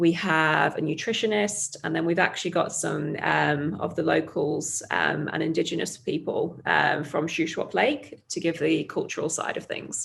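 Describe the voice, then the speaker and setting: In a very clean recording with a silent background, a woman with a British accent speaks at a fairly slow pace. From UK. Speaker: startup founder. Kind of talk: interview.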